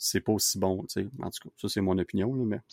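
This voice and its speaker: A man with a Quebec accent, fairly low in pitch with ordinary pitch variation, in a dry, close sound with no echo and a very clean, silent background. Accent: Québécois French. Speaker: podcast host. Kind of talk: casual chat. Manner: animated.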